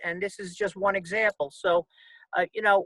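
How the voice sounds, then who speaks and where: With a raised, projected voice, a man speaks at a high pitch and a moderate pace in a bright, sharp tone, the sound dry and close with no echo. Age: 70s. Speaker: podcast host, Vietnam veteran. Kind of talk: interview.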